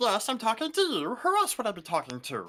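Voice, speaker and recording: Using a put-on character voice, a man speaks at an extremely high pitch and a fairly quick pace. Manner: indignant, sassy.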